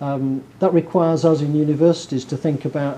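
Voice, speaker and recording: Fairly quick and flat in a monotone, a man talks with a northern English accent. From northern England. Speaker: professor. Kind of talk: lecture.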